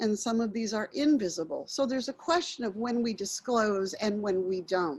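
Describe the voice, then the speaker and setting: Her pitch fairly high and somewhat breathy, a woman talks with very wide pitch swings. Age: 60s. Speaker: workshop facilitator. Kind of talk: workshop training.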